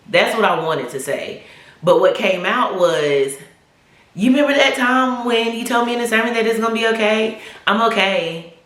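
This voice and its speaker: This woman has a fairly high pitch, an animated tone and lively intonation at a moderate pace. The room echo is audible, and background noise is noticeable. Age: 40s. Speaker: YouTube vlogger. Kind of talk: casual vlog testimony.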